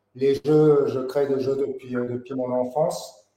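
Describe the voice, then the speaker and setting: A dark, mellow voice speaks very slowly in a flat monotone. Room echo is clearly audible. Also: man. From Paris, France. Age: 40s. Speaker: board game designer and graphic artist. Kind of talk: interview. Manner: hesitant, many fillers.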